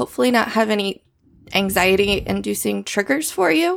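Over a silent background in a very clean recording, a woman speaks at a moderate pace. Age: 30s. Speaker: podcast co-host. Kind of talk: casual chat.

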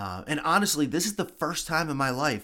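Vocal fry runs through a man's fairly high, bright and sharp voice as his pitch swings very widely. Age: 40s. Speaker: podcast host, cancer patient. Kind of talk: personal monologue. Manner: halting.

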